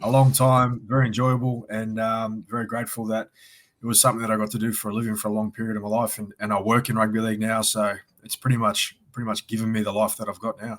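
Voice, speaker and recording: Speaking at a very fast pace, a man with an Australian accent keeps a medium pitch and a monotone, flat intonation. The recording is very clean, with a silent background. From Sydney, Australia. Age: 40s. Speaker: former rugby league player. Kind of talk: casual interview.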